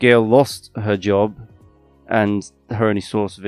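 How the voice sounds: What you hear here is a natural reading voice. The clip has nothing further to note.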